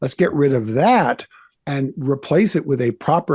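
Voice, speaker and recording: Male, somewhat breathy, over a quiet background. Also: dry, close sound with no echo. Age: 60s. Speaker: pastor and author. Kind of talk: interview.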